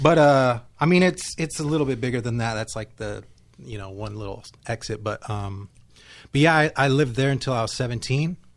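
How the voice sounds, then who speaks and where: Heard in a very clean recording with a silent background, a man with an unremarkable speaking voice and an American accent talks at medium pitch and a fairly quick pace, with ordinary pitch variation and big swings in loudness. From California. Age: 40s. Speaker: musician and songwriter. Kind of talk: casual chat. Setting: studio.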